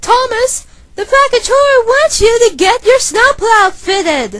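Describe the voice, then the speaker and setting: A female-sounding voice uses a put-on character voice at an extremely high pitch. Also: fairly slow pace. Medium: dub. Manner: exasperated.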